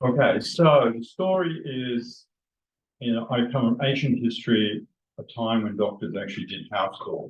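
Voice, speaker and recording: A man at a medium pitch, with an Australian accent, ordinary pitch variation and a moderate pace. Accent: Australian, still present. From Australia (Western Australia). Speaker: retired doctor. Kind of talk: personal storytelling to a group. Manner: halting, with restarts.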